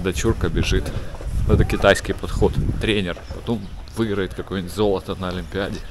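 A man with a low pitch talks at a fairly quick pace. His intonation is fairly even, and background noise is clear.

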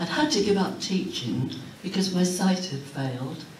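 Audible room echo and light background noise surround a woman whose fairly low pitch shows ordinary variation. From Huddersfield, Yorkshire, England. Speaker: author. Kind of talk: keynote speech. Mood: warm, nostalgic. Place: hall. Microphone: camera far.

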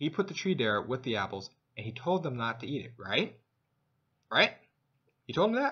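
Against a quiet background, the voice has a bright, sharp tone and very wide pitch swings. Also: man, moderate pace. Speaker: vlogger. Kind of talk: casual vlog monologue on religion. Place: home room. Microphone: webcam.

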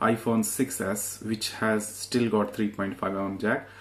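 With flat, monotone intonation, a man speaks at a moderate pace in a fairly low pitch. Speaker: product reviewer. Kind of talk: unboxing tutorial. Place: home room. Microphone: phone near.

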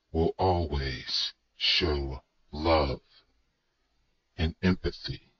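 A man performs a cartoonish character voice. His pitch sits very deep and low. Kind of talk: documentary narration. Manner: grave, reflective.

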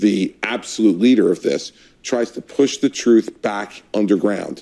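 A man with a dark, mellow tone talks at a moderate pace with ordinary pitch variation against a quiet background. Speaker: political commentator panelist. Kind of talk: panel discussion commentary. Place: studio.

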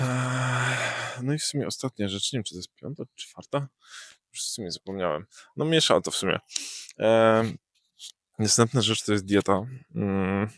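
Speaking at a moderate pace, a man has a medium pitch with ordinary pitch variation, long, frequent pauses and big swings in loudness. The sound is dry and close, without echo. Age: 20s. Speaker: YouTuber. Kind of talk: casual vlog monologue. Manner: halting, many filler sounds.

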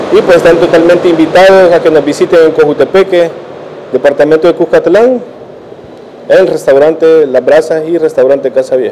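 There is light background noise as a man speaks. His voice is high, with ordinary pitch variation. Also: moderate pace. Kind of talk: interview answer. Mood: friendly promotional. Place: cafe. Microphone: handheld.

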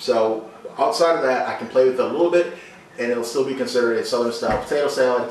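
A man talks with audible room echo and a light layer of background noise. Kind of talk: cooking tutorial. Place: kitchen. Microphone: camera far.

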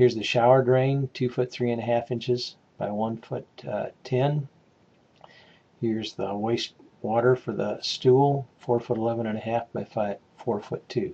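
With a dark, mellow tone and fairly even intonation, a man speaks at a moderate pace. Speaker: instructor. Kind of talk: tutorial. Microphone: webcam.

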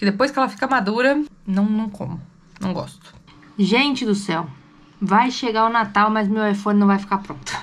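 Somewhat breathy and upbeat in tone, a woman talks at a moderate pace with ordinary pitch variation. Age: 20s. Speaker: mother and family vlogger; family vlogger. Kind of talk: casual vlog talk to camera. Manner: chatty, upbeat. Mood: mildly exasperated, chatty. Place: home room. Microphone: phone near.

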